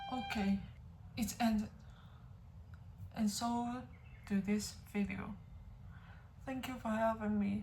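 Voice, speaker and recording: In a non-native accent, a woman talks very slowly with long, frequent pauses, her fairly high pitch held in a flat, monotone intonation. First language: not English. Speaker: music reaction youtuber. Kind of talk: music reaction video. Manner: halting.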